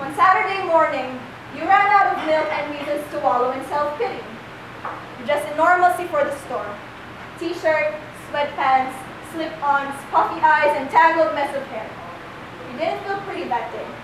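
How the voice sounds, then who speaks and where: A woman talks in a high pitch, and her loudness swings widely. There is noticeable background noise. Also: ordinary pitch variation, moderate pace. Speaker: slam poet. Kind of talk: slam poetry performance. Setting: live performance in a cafe. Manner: fierce, alluring.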